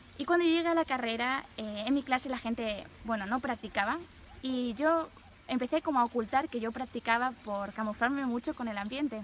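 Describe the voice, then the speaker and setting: This woman has a high pitch with ordinary pitch variation. She talks at a fairly quick pace. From Spain. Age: 20s. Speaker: nun. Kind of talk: testimony.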